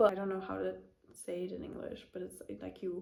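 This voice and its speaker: A woman talks with a German accent. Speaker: knitting podcaster. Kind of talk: casual chat. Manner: hesitant, many fillers.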